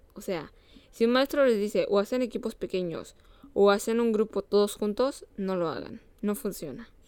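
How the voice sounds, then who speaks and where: With a Mexican accent, a woman speaks at a moderate pace, her fairly high pitch showing ordinary variation. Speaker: podcast co-host. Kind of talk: casual chat.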